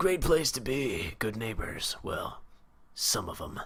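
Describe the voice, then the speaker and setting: In a put-on character voice that is raspy and gruff, someone speaks at a fairly slow pace with very wide pitch swings. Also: man, medium pitch for a man. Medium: game stream. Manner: terse, gruff.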